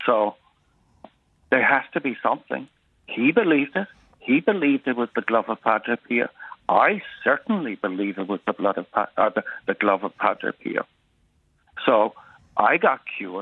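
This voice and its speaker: A man with a Cork accent speaks at a moderate pace and medium pitch, his intonation lively, broken by long, frequent pauses. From Ireland, Cork north side. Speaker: caller. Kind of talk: testimony.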